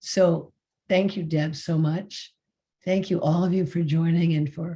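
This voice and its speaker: This woman has a very deep, low pitch and a dark, mellow tone. Her voice is somewhat breathy, with fairly even intonation. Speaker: meditation teacher. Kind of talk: closing remarks of a spiritual group session. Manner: halting.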